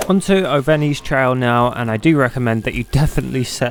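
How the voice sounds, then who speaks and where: Music plays in the background as a man talks at a fairly quick pace. His pitch is medium, and his intonation is lively. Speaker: gaming youtuber. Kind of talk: game tutorial. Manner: casual.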